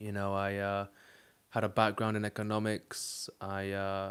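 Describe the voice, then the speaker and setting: A fairly low male voice with a British accent and monotone, flat intonation, on a very clean recording with a silent background. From UK. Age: 20s. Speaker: dating coach and streamer. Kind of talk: live stream monologue. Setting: live stream. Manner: casual, with frequent fillers.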